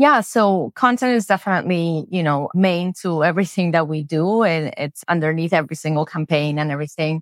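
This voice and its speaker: A woman with a Spanish accent, fairly low-pitched for a woman, at a fairly quick pace with ordinary pitch variation, in a very clean recording with a silent background and a dry, close sound with no echo. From Spain. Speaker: B2B marketing executive. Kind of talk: casual interview chat.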